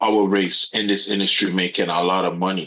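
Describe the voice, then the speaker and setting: Speaking at a moderate pace, a man has a Caribbean accent. His pitch is very deep and low, with monotone, flat intonation. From Caribbean, St. Martin. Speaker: yacht broker. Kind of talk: interview conversation.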